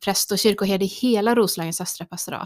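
Recorded very cleanly against a silent background, a woman's medium-pitched voice sounds dry and close with no echo. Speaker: priest. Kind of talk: casual chat. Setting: studio.

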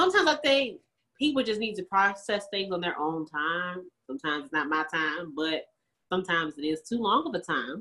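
A woman with a bright, sharp, animated tone talks fairly quickly at a medium pitch, her pitch swinging very widely. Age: 20s. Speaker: podcast co-host. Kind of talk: casual chat.

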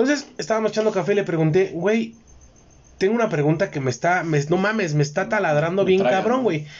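A man talks at a very fast pace with a high pitch. His intonation is lively and his loudness very even. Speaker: podcast host. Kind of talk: casual chat.

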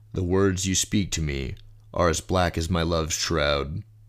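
In a very clean recording with a silent background, a man speaks at a fairly slow pace in a solemn, theatrical tone, with vocal fry and ordinary pitch variation. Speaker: poetry reader. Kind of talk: fantasy epic poem reading, dramatic reading aloud of journal entries and verse dialogue. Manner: solemn, theatrical, voicing different characters with grave intensity.

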